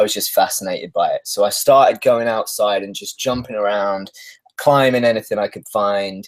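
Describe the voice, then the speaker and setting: Speaking with a British accent, a man keeps a moderate pace. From UK. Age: 30s. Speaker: stuntman. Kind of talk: interview.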